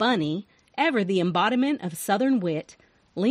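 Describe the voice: The voice is plain reading aloud, with lively intonation.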